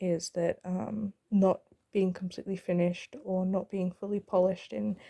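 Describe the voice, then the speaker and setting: A woman's voice has a medium pitch and a dark, mellow tone. The sound is dry and close, with no echo. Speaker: gaming YouTuber. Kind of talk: voiceover commentary on a time-lapse. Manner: fast; hesitant, many fillers.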